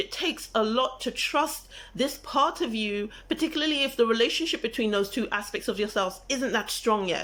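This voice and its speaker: A woman's high-pitched voice with very wide pitch swings at a moderate pace, on a very clean recording with a silent background. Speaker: spiritual teacher / manifestation coach. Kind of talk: tutorial.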